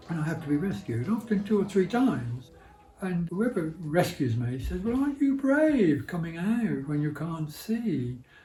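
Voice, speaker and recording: A man with a Birmingham accent, high pitch with very wide swings, moderate pace. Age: 80s+. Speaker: blind campaigner. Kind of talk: interview answer.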